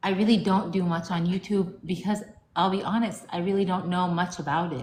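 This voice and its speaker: With an American accent, a woman talks at a fairly quick pace in a somewhat breathy voice. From United States, Lebanese family. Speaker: romance author. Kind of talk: casual interview.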